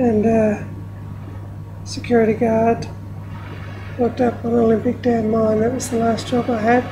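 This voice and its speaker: A woman talks at a moderate pace, stopping often for long pauses. Noticeable background noise runs underneath. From Australia (outback, moved between states). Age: 50s. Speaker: author. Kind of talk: casual talk about her book. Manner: hesitant, many fillers.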